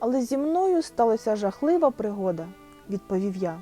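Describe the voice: The delivery is plain reading aloud.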